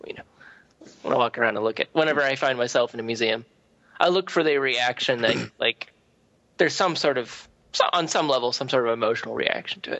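Speaking at a fairly quick pace, this man has medium pitch. His pitch variation is ordinary. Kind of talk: casual chat.

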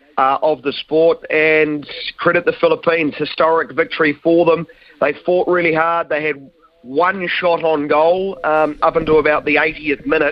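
Over noticeable background noise, someone with a New Zealand accent speaks at a moderate pace with fairly even intonation. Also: man, fairly high pitch for a man. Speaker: sports commentator. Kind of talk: live football goal commentary, building to an explosive call.

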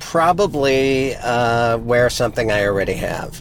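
A man with an American accent. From Montana (Missoula). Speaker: podcast co-host. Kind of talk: casual chat. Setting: in a car.

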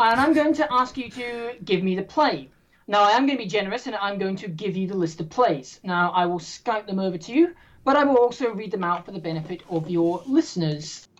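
With an English accent, a woman talks at a fairly quick pace, her medium pitch moving in very wide swings. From English Midlands. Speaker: quiz host. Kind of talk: hosting a trivia game. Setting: video call.

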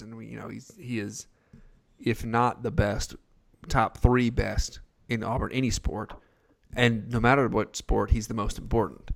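A man with an American accent talks at medium pitch. His pace is fairly slow. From Texas. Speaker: podcast host. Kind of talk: casual sports podcast chat.

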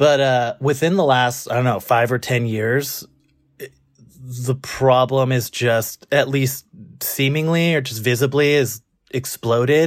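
A man with a Californian accent speaks fairly slowly at a medium pitch, his intonation fairly even. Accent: Californian American. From Los Angeles. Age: 30s. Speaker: listener with a question. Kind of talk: casual conversation.

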